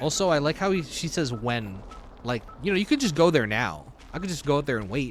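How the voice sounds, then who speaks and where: Using an ordinary speaking voice, a man talks at a fairly quick pace. His fairly high pitch carries lively intonation. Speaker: streamer. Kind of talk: let's play commentary.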